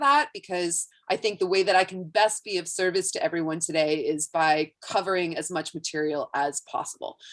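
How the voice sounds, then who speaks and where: Ordinary pitch variation marks a plain, everyday voice speaking at a moderate pace. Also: woman. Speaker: online class instructor. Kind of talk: webinar teaching.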